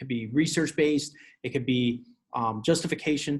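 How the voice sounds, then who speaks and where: A man speaks with a fairly high pitch and a somewhat breathy sound. His pitch varies in an ordinary way against a quiet background. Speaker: teacher. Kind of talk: tutorial. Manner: fast. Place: home room. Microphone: webcam.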